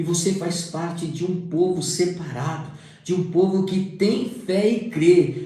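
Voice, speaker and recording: A man with fairly even intonation, plus audible room echo. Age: 60s. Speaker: preacher. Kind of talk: sermon.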